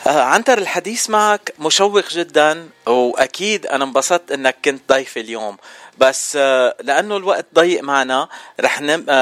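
Very slowly and with lively intonation, a man speaks at a fairly high pitch, the sound dry and close with no echo. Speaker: radio host. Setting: radio studio. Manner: upbeat, chatty, welcoming, energetic presenter delivery.

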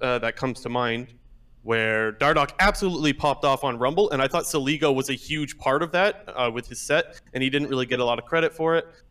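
A man speaks at a fairly quick pace in a bright, sharp tone. His pitch varies in an ordinary way. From Canada (Ontario). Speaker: caller. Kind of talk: casual chat.

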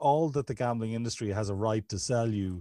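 A man speaks at a fairly quick pace with a dark, mellow tone on a very clean recording with a silent background. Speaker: podcast host and addiction counselor. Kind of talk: interview conversation.

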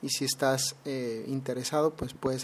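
This man speaks at a medium pitch in a monotone with flat intonation. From Mexico, Mexicali, Baja California. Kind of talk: solo podcast monologue. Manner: hesitant, frequent fillers and repetitions.

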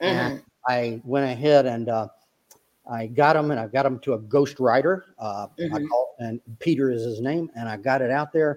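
Speaking with a South Carolina accent, a man keeps a moderate pace and medium pitch, with ordinary pitch variation. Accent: Southern US (South Carolina). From US South, upstate South Carolina. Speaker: retired army officer and author. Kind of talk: interview.

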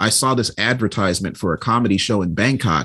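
A man's plain, everyday voice, fairly low in pitch, with an American accent, lively intonation and a quiet background. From Chicago. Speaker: stand-up comedian. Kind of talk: casual chat.

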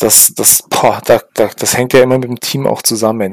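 A man talks at a moderate pace in a monotone, flat delivery. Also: dry, close sound with no echo. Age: 30s. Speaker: podcast co-host. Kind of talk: casual chat.

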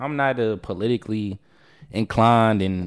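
At a moderate pace, a man speaks in a normal speaking voice, fairly low in pitch, on a very clean recording with a silent background. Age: young. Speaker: podcast guest. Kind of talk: casual chat.

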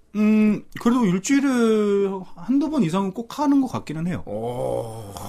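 A high-pitched man with very wide pitch swings, at a fairly slow pace. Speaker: voice actor. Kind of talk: casual chat.

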